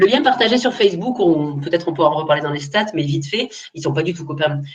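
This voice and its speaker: A woman's very deep, low, somewhat breathy voice at a fairly quick pace, with ordinary pitch variation. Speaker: social media trainer, agency owner. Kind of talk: webinar Q&A. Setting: online webinar. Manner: fast; casual.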